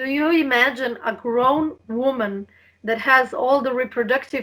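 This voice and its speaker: In a very clean recording with a silent background, a woman with a Slovene accent speaks at a fairly slow pace, her high-pitched voice bright and sharp in tone. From Slovenia. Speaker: health and diet coach. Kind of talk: interview.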